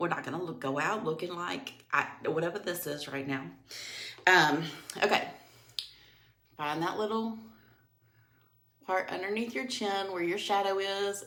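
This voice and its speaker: A woman at a moderate pace, with ordinary pitch variation, long and frequent pauses, and audible room echo. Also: medium pitch for a woman. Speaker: makeup seller and tutorial host. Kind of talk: makeup tutorial. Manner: casual.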